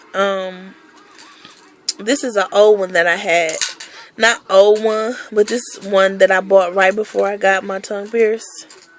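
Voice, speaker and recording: Over background music, a woman at medium pitch talks at a fairly slow pace, leaving long, frequent pauses. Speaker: vlogger and school bus driver. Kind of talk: casual vlog. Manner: casual with fillers.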